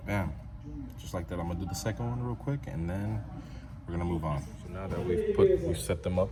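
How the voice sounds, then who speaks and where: A quiet man speaks at a fairly quick pace with a very deep, low pitch and very wide pitch swings. Noticeable background noise and audible room echo fill the recording. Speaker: car enthusiast YouTuber. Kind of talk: tutorial. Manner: quiet, subdued; casual, conversational.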